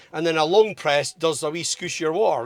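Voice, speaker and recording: With noticeable noise behind him, a man talks at a fairly high pitch and ordinary pitch variation. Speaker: car vlogger. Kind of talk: casual review monologue.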